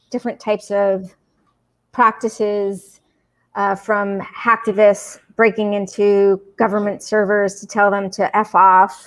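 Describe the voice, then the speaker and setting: At a very slow pace, a woman speaks with a fairly high pitch. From Puerto Rico. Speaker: anthropologist and author; guest. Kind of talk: podcast interview. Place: home room. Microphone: video call.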